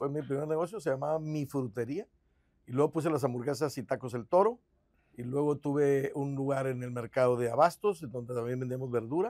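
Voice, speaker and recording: Against a quiet background, a man speaks fairly quickly at a fairly high pitch with ordinary pitch variation. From Guadalupe, Nuevo León, Mexico; Nuevo León, Mexico. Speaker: mayoral candidate, lawyer; candidate, lawyer. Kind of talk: interview. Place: studio. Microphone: lapel.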